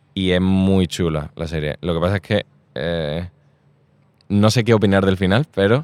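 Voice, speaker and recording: A man with a very deep, low pitch and ordinary pitch variation speaks with long, frequent pauses in a dry, close sound with no echo. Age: 20s. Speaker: actor. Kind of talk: casual chat. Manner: animated.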